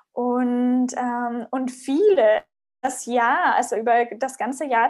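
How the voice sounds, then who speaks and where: The recording is very clean, with a silent background. A woman speaks in a high voice with ordinary pitch variation. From small conservative town in Germany. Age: 30s. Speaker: podcast guest. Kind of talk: casual interview. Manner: hesitant with many fillers.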